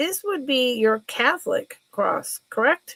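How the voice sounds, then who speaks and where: A woman speaks in a raised, projected voice with a high pitch and lively intonation. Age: 60s. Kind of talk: live sale stream. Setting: live stream. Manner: casual, chatty.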